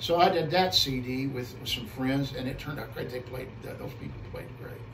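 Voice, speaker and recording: With an American accent, a man speaks in big swings of loudness, with audible room echo and noticeable background noise. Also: medium pitch for a man, ordinary pitch variation, fairly quick pace. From US Midwest (Missouri, Illinois). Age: 60s. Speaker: guitarist and music teacher. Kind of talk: casual interview. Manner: halting, with frequent repetitions.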